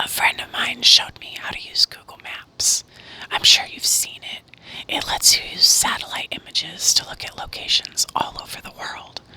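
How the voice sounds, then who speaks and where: A moderately paced whisper amid noticeable background noise. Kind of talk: read story. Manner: whispered.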